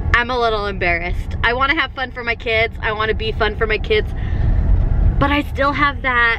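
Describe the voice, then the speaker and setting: A woman speaks fairly quickly in a high voice with ordinary pitch variation. The sound is dry with no echo, and there is noticeable background noise. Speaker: family vlogger. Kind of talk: casual vlog chat. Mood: amused, slightly embarrassed. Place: car. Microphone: phone near.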